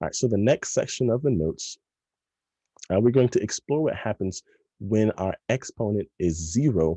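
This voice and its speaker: A man with a dark, mellow tone talks at a fairly quick pace, the sound dry and close with no echo over a quiet background. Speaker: math teacher. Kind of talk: tutorial. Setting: recorded video lesson. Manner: fast.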